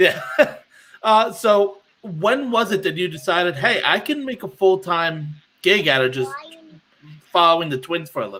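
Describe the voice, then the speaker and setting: A man projects a raised, bright, sharp voice at high pitch with lively intonation. He keeps a moderate pace but takes long, frequent pauses. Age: 20s. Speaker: amateur interviewer. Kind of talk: interview.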